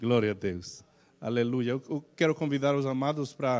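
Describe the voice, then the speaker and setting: A man with a Spanish accent, medium pitch and ordinary pitch variation. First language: Spanish (speaking Portuguese). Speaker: pastor. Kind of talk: sermon. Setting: church. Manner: halting, many fillers.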